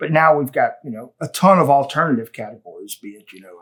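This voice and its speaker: A man with a Southern US accent at a very fast pace. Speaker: business podcast host. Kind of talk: casual interview.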